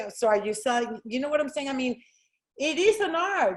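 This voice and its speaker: A woman speaks loudly and high in pitch, her intonation lively. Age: 50s. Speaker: real estate agent. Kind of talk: interview. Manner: fast.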